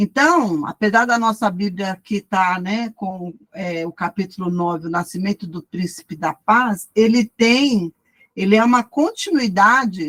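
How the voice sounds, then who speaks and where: A woman uses an ordinary speaking voice at a medium pitch, with lively intonation and a fairly slow pace. The sound is dry and close, with no echo. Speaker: Bible study teacher. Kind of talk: lecture. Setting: video call.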